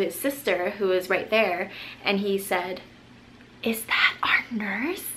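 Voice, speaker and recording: A woman speaks at a fairly slow pace with fairly even intonation. Noticeable background noise runs underneath. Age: young. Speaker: nurse. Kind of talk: vlog monologue.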